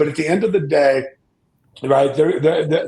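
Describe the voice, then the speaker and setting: This man's voice is somewhat breathy. He talks at a fairly high pitch. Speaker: data security compliance expert. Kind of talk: panel discussion. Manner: halting, repeats words.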